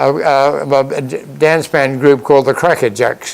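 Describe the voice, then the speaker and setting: A fairly high-pitched man's voice over noticeable background noise. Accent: Australian. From Australia, Queensland Sunshine Coast. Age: 90s. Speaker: retired farmer and band conductor. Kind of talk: interview storytelling. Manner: halting, many repetitions and false starts.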